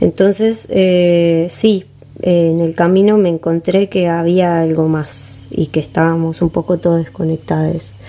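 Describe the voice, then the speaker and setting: A woman's fairly low voice at a fairly slow pace, with ordinary pitch variation and very even loudness over noticeable background noise. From Uruguay, Montevideo. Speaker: rapper and singer. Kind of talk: casual interview chat.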